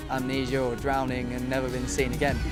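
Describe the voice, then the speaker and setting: Music plays in the background as a man with an English accent speaks at a very fast pace. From England. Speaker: video game industry worker. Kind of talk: interview answer. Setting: outdoors at a music festival. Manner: casual, hesitant.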